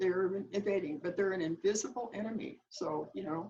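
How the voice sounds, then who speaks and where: A woman talks at a moderate pace with medium pitch. Her voice is somewhat breathy. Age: 80s+. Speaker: author. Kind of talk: interview. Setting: video call.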